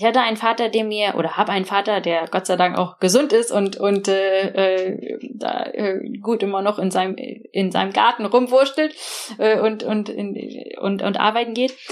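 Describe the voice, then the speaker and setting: Moderately paced talk from a woman, medium in pitch, with ordinary pitch variation. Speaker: tech founder and investor. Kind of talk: interview. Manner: hesitant, with fillers.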